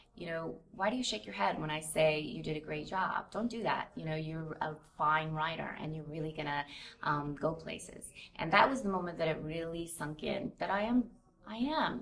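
A woman's very deep, low voice moves with lively intonation. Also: moderate pace. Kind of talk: interview answer. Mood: reflective, warm.

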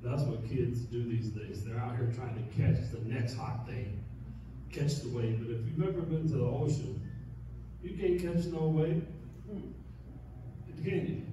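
A man at a moderate pace with ordinary pitch variation, amid strong room echo and noticeable background noise. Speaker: pastor. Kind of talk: sermon. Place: church.

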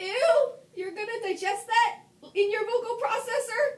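Someone shouts in a squeaky, extremely high-pitched put-on character voice at a moderate pace, with audible echo. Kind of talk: dramatic script reading. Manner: shouting in disgust. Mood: amused, playful.

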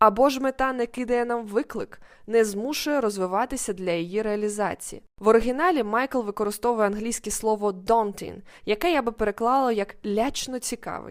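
Over a very clean, silent background, a woman with an ordinary speaking voice talks at a fairly high pitch and moderate pace, with ordinary pitch variation. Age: 20s. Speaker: podcast host and life coach. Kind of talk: solo educational monologue.

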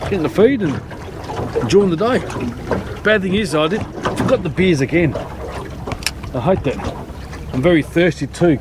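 Pausing long and often, a man speaks at a fairly slow pace, the sound dry with no echo but noticeable background noise. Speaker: fishing vlogger. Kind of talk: casual vlog chat. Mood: relaxed, cheerful. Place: boat. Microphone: camera far.

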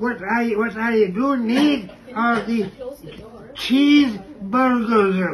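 Over light background noise, a man talks at an extremely high pitch with ordinary pitch variation. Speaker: elderly motel resident. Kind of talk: casual conversation. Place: home room. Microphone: phone near.

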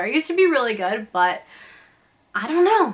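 A woman is speaking. Her pace is moderate. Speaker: vlogger. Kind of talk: casual vlog chat. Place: home room.

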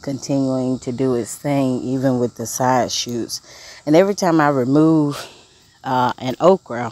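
At a fairly slow pace, the voice comes through as a dry sound with no echo. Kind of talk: casual garden tour vlog. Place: garden. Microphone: phone near.

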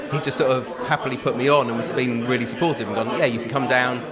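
Background music is playing. Over it, a man talks. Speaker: singer-comedian interviewee. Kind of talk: interview answer. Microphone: handheld.

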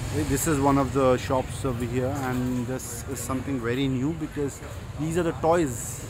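A man talks at a moderate pace while noticeable background noise persists. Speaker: vlogger touring a market. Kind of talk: casual vlog chat. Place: market. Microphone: phone near.

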